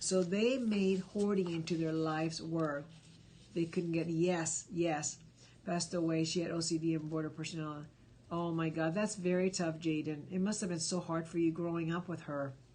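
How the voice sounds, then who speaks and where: A woman speaks at a moderate pace with a slight Spanish accent. Her pitch is fairly low and her intonation fairly even. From Cuba. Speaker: live stream host. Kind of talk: casual live stream chat. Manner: conversational, many fillers.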